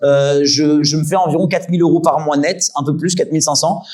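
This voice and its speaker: A man's dark, mellow voice at a fairly quick pace. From Île-de-France, Yvelines. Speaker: streamer and content creator. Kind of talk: talk with audience Q&A. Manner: fast.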